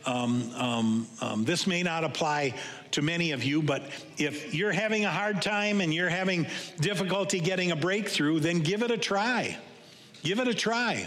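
Noticeable background noise sits behind a man who speaks with a high pitch, lively intonation, very even loudness and a moderate pace. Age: 60s. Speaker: pastor. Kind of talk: sermon. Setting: church. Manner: halting.

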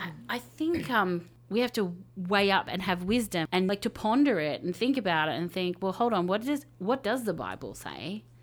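A woman speaks in a plain, everyday voice at a medium pitch and moderate pace. Her intonation is lively, with hardly any pauses. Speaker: media pastor. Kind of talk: panel discussion.

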